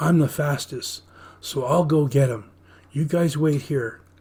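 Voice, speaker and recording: Using a put-on character voice, a man speaks fairly slowly in a raspy, fairly high pitch. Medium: read story. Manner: eager.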